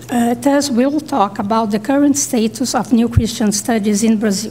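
With light background noise behind her, a woman talks at a moderate pace and with ordinary pitch variation. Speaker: panelist. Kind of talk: conference paper reading. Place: hall. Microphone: podium.

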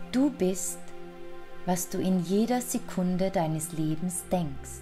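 A woman speaks at a very slow pace with very even loudness. Music plays in the background. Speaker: affirmation and relaxation guide. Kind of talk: guided affirmations for self-confidence.

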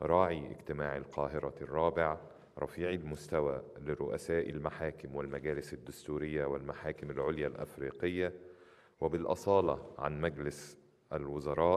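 The delivery is monotone, with flat intonation and vocal fry. The pace is moderate. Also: man, very deep, low pitch for a man. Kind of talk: formal speech. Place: hall. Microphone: podium.

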